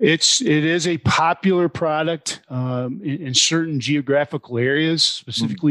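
In a plain, everyday voice, a man speaks at a moderate pace with ordinary pitch variation, the sound dry and close with no echo against a quiet background. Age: 50s. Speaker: tire additive company sales rep. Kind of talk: interview.

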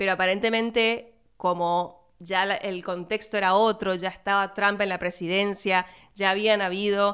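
A woman with an Argentine accent speaks at medium pitch in a monotone, flat intonation on a very clean recording with a silent background. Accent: non-porteño Argentine. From Argentina, outside Buenos Aires. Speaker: film podcaster. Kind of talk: solo film review monologue. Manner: casual, filler-heavy.

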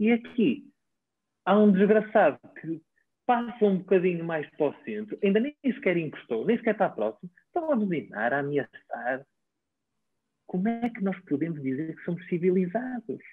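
At a moderate pace, a man speaks with a high pitch. His pitch swings very widely. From northern Portugal, Baião. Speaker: physiotherapist and traditional Chinese medicine practitioner. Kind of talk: interview conversation.

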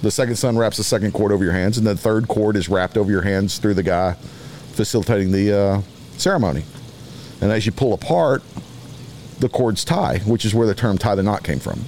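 Against noticeable background noise, a man talks at a fairly quick pace in a fairly low voice with ordinary pitch variation, very even loudness and long, frequent pauses. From Texas (Beaumont). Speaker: medical device surgical consultant. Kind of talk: casual chat.

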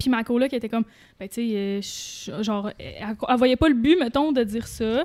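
In a Quebec accent, a woman speaks fairly slowly at a fairly high pitch. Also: ordinary pitch variation. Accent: Québécois French. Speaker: YouTuber. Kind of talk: casual chat.

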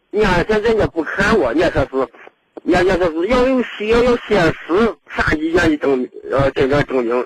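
A man's high-pitched voice swings very widely in pitch, captured with a dry, close sound and no echo. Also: moderate pace. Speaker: caller. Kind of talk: phone call-in. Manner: halting.

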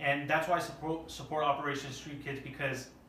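Noticeable background noise and audible room echo fill this recording. A man speaks in a fairly high voice. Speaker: podcast host. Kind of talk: casual chat. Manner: loud. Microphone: no microphones, camera audio.

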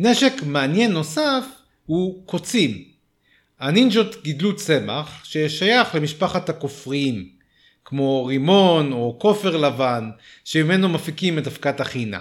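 The speech moves at a very slow pace with very wide pitch swings. The recording is very clean, with a silent background. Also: man, fairly high pitch for a man. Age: 40s. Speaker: podcast host. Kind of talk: scripted narration. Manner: animated.

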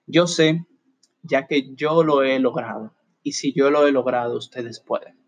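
A man with a normal speaking voice and a fairly high pitch talks at a fairly slow pace with fairly even intonation, the sound dry and close with no echo. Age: 20s. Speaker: motivational podcaster. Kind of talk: motivational monologue.

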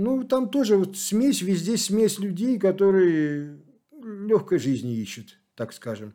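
Speaking very slowly, a man uses a high pitch and a dark, mellow tone. His pitch swings very widely. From Saint Petersburg, Russia. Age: 60s. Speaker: long-distance walker. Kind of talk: interview. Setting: in Kislovodsk.

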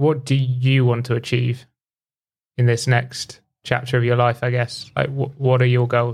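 Speaking at a medium pitch and a fairly slow pace, a somewhat breathy man keeps a monotone, flat intonation and very even loudness. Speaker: podcast host. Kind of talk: casual interview chat.

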